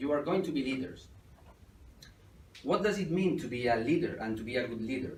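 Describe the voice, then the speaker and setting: With a Spanish accent, a man of medium pitch speaks with long, frequent pauses in a room with audible echo. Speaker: entrepreneur, guest lecturer. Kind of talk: lecture. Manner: halting.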